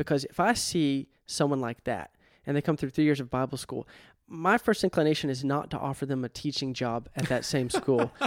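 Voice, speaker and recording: A man with an unremarkable speaking voice, a fairly high pitch and ordinary pitch variation, at a fairly quick pace, in a dry, close sound with no echo and a very clean recording with a silent background. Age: 30s. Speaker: podcast host. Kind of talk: interview.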